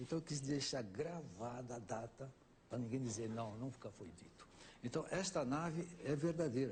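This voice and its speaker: A man speaks at a moderate pace and medium pitch. His voice is somewhat breathy, with lively intonation. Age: 70s. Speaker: ufologist and author on a talk show. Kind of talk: talk show interview.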